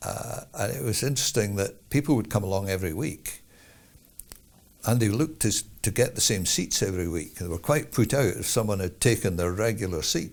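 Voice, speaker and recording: In an Edinburgh accent, a man with a fairly low pitch talks with lively intonation. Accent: Scottish (Edinburgh). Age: 70s. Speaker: jazz musician. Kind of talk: interview.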